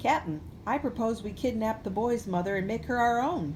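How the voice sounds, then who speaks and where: A woman puts on a character voice, pitched fairly high, at a moderate pace. Background noise is clearly audible. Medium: read story.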